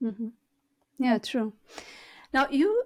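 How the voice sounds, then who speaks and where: A woman speaks in a Portuguese accent. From Portugal. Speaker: podcast host. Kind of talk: interview conversation.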